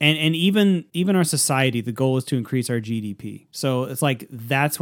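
A man's normal speaking voice at medium pitch and a fairly quick pace, in a dry, close sound with no echo and a very clean recording with a silent background. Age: 30s. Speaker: podcast co-host. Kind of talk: casual chat.

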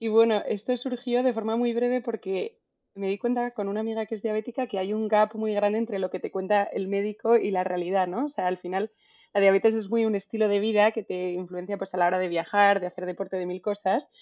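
There is a plain, everyday voice here, moving at a fairly quick pace with fairly even intonation. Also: woman, medium pitch for a woman. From Spain, Madrid. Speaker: marketing manager. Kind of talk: casual interview.

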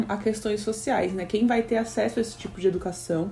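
A woman talks at a fairly quick pace in a Brazilian accent. Her pitch variation is ordinary. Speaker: podcast host. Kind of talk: educational podcast commentary. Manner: frequent fillers and repetitions.

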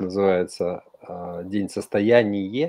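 With an unremarkable speaking voice, the man talks fairly low for a man, his pitch varying ordinarily and his pace moderate. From Kyrgyzstan. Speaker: panel regular. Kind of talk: online radio talk.

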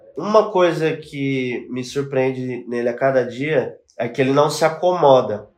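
Speaking at a fairly slow pace, a man with a fairly high pitch uses a plain, everyday voice with ordinary pitch variation. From São Paulo east zone, Brazil. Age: 20s. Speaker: music video director. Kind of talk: casual chat.

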